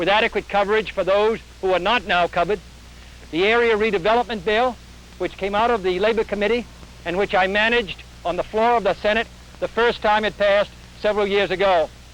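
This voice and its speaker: In an American accent, the speaker talks at a very fast pace with fairly even intonation and very even loudness over noticeable background noise. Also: man, high pitch for a man. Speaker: US senator and presidential candidate. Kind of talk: political speech at a press conference. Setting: outdoors at a press conference, old film recording.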